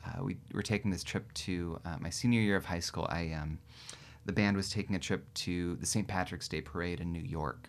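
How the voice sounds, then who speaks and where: With an American accent, a man speaks in a very deep, low pitch marked by vocal fry. His pace is moderate and his pitch variation ordinary. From Central Valley California. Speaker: folk musician. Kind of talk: casual interview. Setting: studio.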